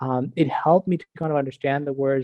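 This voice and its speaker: With an Iranian accent, a man speaks at a fairly high pitch. His pace is moderate. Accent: Iranian (Persian) accent in English. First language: not English (English was his fourth language). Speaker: director of product and university instructor. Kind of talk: podcast interview.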